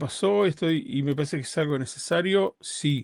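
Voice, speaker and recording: Pitch swings very widely at a fairly slow pace on a very clean recording with a silent background. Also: man. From Uruguay. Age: 50s. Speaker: rabbi. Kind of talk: interview conversation. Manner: halting, with repetitions.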